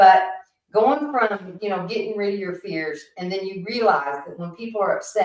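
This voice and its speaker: A woman speaks in a plain, everyday voice at medium pitch and a moderate pace, with ordinary pitch variation and big swings in loudness. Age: 60s. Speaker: podcast guest. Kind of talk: casual chat.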